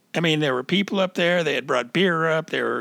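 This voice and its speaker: Here a man speaks with an American accent in a fairly high pitch. His bright, sharp tone carries vocal fry. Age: 60s. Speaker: podcast host. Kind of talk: casual interview.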